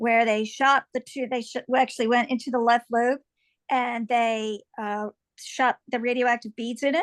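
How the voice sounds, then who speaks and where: A woman speaks at a high pitch in a monotone, flat delivery. The sound is dry and close with no echo, and the background is quiet. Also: moderate pace. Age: 60s. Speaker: liver cancer patient. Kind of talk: panel introduction.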